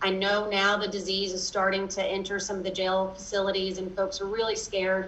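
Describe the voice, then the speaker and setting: A woman in a Kentucky accent, medium-pitched and monotone with flat intonation, at a moderate pace amid audible room echo. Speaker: lawyer and advocacy group director. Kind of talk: interview. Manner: many fillers and restarts.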